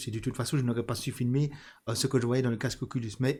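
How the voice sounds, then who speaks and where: A man with a medium-pitched voice is heard on a very clean recording with a silent background. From Belgium, Charleroi region. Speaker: video game channel host. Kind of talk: interview.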